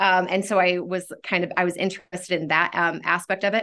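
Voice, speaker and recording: A woman speaks at a medium pitch with an American accent. Her tone is bright and sharp against a quiet background. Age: 30s. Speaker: school counselor. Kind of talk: casual interview. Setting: studio.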